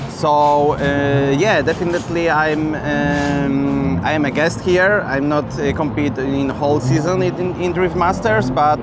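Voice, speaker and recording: A man with a Polish accent speaks fairly slowly in a fairly high pitch, with ordinary pitch variation, very even loudness and hardly any pauses. The room echo is audible, and music plays in the background. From Poland. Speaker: racing driver. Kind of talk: interview. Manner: halting, many fillers.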